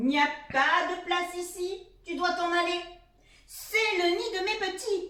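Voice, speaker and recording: A woman uses a put-on character voice that is gruff and pitched extremely high. She speaks in a raised, projected voice at a fairly slow pace, with a slight echo. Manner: angry, scolding.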